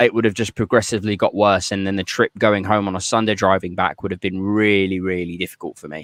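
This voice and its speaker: In a British accent, a man talks very fast in a flat monotone with hardly any pauses, the sound dry and close with no echo against a quiet background. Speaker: podcast host. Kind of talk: casual chat. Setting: garden shed. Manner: loud; high energy.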